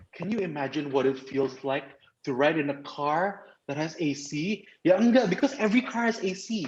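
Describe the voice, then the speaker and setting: Animated and lively in its intonation, the voice carries an Indonesian accent. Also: man. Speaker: club trainer. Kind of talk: training presentation. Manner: fast.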